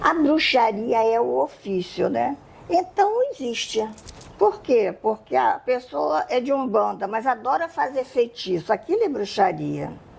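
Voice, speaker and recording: A woman talking at a fairly slow pace over noticeable background noise. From Brazil, Rio de Janeiro. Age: 70s. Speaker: Wiccan witch and magic teacher. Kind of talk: podcast interview.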